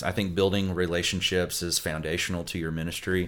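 A man with a very deep, low pitch and a Southern US accent talks at a fairly quick pace in a flat monotone. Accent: Southern American. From US South, Florida Panhandle. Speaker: family pastor. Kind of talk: interview.

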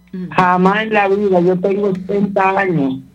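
A man talks in a high pitch. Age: 80s+. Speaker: radio caller. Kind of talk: call-in. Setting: phone call.

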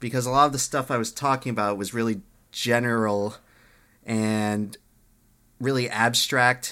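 A man speaks at a moderate pace and a medium pitch in a bright, sharp tone. His intonation is fairly even, and the recording is very clean with a silent background. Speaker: podcast co-host and YouTuber. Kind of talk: casual banter podcast.

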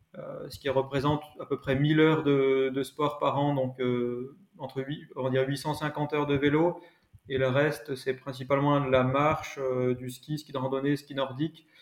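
A man speaks at a fairly slow pace. His pitch is fairly high and his intonation flat and monotone. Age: 20s. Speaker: amateur cyclist and engineer. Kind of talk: interview.

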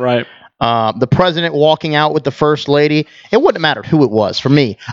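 At a fairly quick pace, a man talks in a normal speaking voice with ordinary pitch variation. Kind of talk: casual banter among friends.

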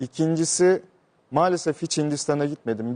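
Fairly quick and dark, mellow in tone, this man's voice shows ordinary pitch variation. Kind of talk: casual interview.

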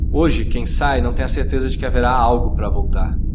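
Noticeable background noise surrounds a man who speaks at a fairly quick pace in a very deep, low voice with a solemn, deadpan tone. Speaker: narrator reading a short story. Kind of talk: scripted first-person sci-fi narration, dramatic and reflective. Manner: solemn, introspective, deadpan.

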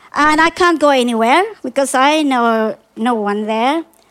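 A woman with a Filipino accent at a fairly slow pace, with ordinary pitch variation. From Philippines. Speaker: storyteller. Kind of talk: live storytelling. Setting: backyard with live audience.

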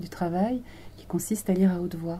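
Calm in tone and somewhat breathy, a woman speaks at a moderate pace in a fairly low, dark, mellow voice. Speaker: radio presenter. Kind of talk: interview. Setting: studio.

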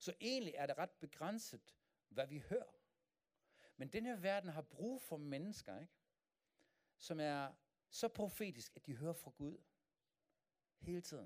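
At a fairly slow pace, a man with a German accent speaks with lively intonation and a fairly high pitch for a man. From Germany. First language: German (speaking Danish). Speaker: pastor. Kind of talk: sermon. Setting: church.

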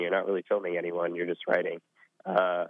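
The speaker is a man. He has an American accent. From US Southwest. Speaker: former scholarship intern. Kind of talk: interview. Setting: phone call.

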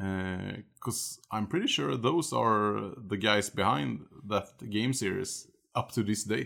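A man's fairly low, bright and sharp voice with vocal fry and lively intonation, at a very slow pace, in a very clean recording with a silent background. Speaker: guest gamer. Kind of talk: casual chat.

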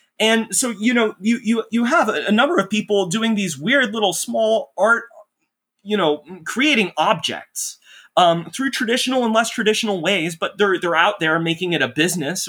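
Bright and sharp in tone, a man with an American accent speaks at a high pitch and moderate pace with lively intonation. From North Texas, Dallas suburb. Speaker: writer. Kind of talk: casual chat. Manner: halting, many fillers.

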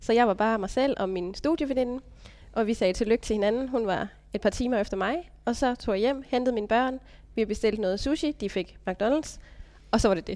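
A woman talks at a fairly quick pace in a normal speaking voice. Her pitch is fairly high, with ordinary variation. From Denmark, Funen (Stige, Odense). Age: 30s. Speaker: vocational business graduate, mother. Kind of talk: casual interview. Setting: meeting room.

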